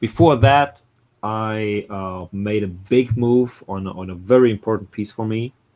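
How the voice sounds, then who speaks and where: Speaking very slowly with a German accent, a man uses a fairly low pitch and ordinary pitch variation. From Germany. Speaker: comic art collector. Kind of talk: casual chat. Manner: halting.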